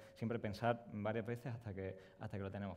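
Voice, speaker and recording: A man with a Sevillian accent talks in a flat monotone, his tone dark and mellow. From Spain. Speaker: product designer; presenter. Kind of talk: conference presentation. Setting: stage with audience. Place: hall.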